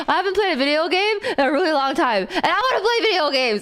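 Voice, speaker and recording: A woman with an American accent speaks at an extremely high pitch with very wide pitch swings and an animated tone. Noticeable background noise is present. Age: 20s. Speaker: streamer. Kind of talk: casual live-stream chat.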